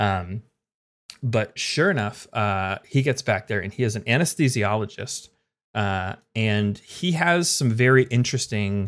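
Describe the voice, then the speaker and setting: On a very clean recording with a silent background, a man speaks with a normal speaking voice at a medium pitch. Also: lively intonation, fairly slow pace. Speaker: former EMT. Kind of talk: casual interview chat.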